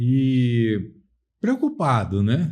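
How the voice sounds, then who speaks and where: A man's voice is heard at a medium pitch. There is some breathiness to it. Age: 60s. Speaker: lawyer. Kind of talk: interview.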